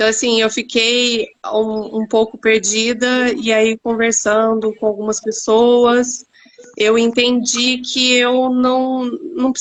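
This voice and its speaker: In a São Paulo interior accent, a woman speaks at a high pitch. Her intonation is monotone and flat. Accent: caipira (rhotic r of São Paulo countryside). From interior of São Paulo state. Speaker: actress, former architect. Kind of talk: live stream panel interview.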